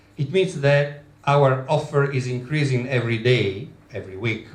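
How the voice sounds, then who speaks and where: A man with an Italian accent speaks at medium pitch and a fairly slow pace. His voice is somewhat breathy, with audible room echo. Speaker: travel business owner. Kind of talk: presentation. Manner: halting.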